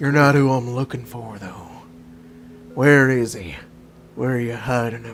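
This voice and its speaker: Using a put-on character voice at medium pitch, a man talks at a moderate pace with long, frequent pauses. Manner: demanding, interrogating.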